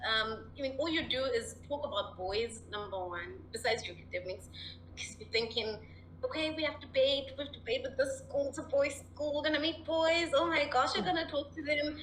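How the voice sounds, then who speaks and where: A woman at a fairly quick pace, with noticeable background noise and audible room echo. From Zimbabwe. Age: 20s. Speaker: mental health advocate. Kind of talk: interview. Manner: animated.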